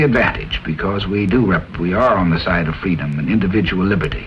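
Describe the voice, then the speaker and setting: A man talks at a fairly quick rate. Background noise is noticeable throughout. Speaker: presidential candidate. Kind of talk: scripted political discussion. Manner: hesitant, many filler sounds.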